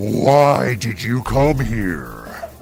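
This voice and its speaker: A man growls in a put-on character voice at a medium pitch. Clear background noise can be heard. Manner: angry, growling.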